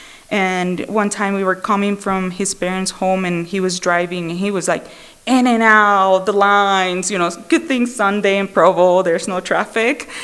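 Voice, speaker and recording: The speaker has a non-native accent and a moderate pace. Intonation stays fairly even, with hardly any pauses. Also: woman, medium pitch for a woman. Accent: foreign. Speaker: Al-Anon speaker. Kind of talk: recovery testimony. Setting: speaker meeting with audience. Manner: conversational, many fillers.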